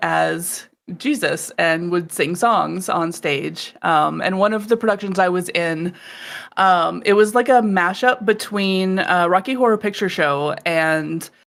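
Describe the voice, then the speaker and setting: In an ordinary speaking voice, a woman talks at a fairly slow pace with medium pitch and ordinary pitch variation, on a very clean recording with a silent background. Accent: American. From Texas. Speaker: voice actor. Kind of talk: casual chat.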